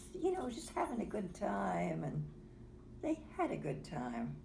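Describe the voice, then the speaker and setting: A woman talks fairly slowly while noticeable background noise carries on around her. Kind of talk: casual conversation.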